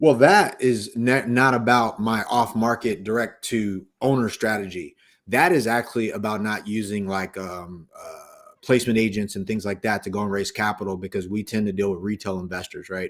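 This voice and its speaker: A man speaks at a moderate pace and a fairly low pitch, with ordinary pitch variation. The recording is very clean, with a silent background. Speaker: real estate investor. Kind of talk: podcast interview. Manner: loud; casual, many fillers.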